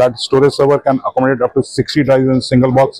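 Against a quiet background, a man speaks with monotone, flat intonation in a dry sound with no echo. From India. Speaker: company director. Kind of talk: trade show interview. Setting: exhibition booth. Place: hall.

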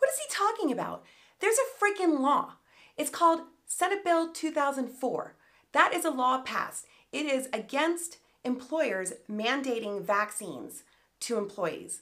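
Against a quiet background, a woman speaks in a high pitch with very wide pitch swings and an animated tone. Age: 50s. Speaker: political commentary YouTuber. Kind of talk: reaction commentary. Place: home room.

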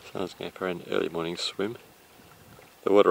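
A man's fairly quick speech, low in pitch with vocal fry and fairly even intonation.

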